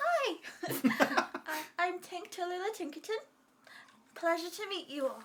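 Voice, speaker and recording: A squeaky, extremely high put-on character voice carries a cheerful tone. It moves at a fairly slow pace with long, frequent pauses. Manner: polite, cheerful.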